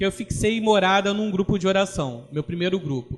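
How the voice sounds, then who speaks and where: A man with a Rio de Janeiro accent, a high pitch, lively intonation and a fairly quick pace. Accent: carioca. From Brazil, Rio de Janeiro city. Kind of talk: religious formation talk.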